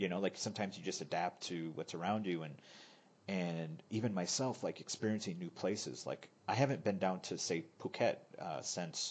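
With an American accent, a man talks at a moderate pace in a very deep, low pitch, with ordinary pitch variation. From United States. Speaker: podcast host. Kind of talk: casual chat.

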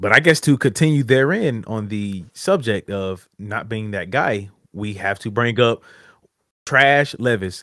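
An ordinary speaking voice from a man at a medium pitch and fairly slow pace, with ordinary pitch variation, big swings in loudness, and a very clean recording with a silent background. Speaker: podcast co-host. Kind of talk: casual chat. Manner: joking, playful.

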